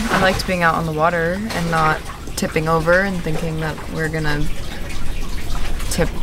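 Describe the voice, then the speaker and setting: Noticeable background noise runs under the speech. The sound itself is dry, with no echo. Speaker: vlogger. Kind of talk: casual vlog chat. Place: boat. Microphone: phone near.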